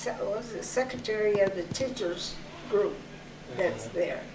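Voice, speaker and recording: Over noticeable background noise, a woman speaks at a fairly slow pace in a medium pitch. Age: 90s. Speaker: oral history interviewee, retired college staff member. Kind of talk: interview answer.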